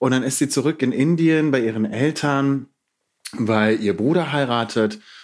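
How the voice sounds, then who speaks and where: In a very clean recording with a silent background, a man is speaking. He talks at a fairly slow pace with ordinary pitch variation. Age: 20s. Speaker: poet and theatre scholar. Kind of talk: casual interview.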